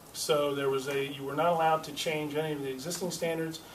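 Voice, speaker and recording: A man speaks very fast with a fairly high pitch and fairly even intonation. There is noticeable background noise and audible room echo. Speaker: state legislator. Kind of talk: press conference.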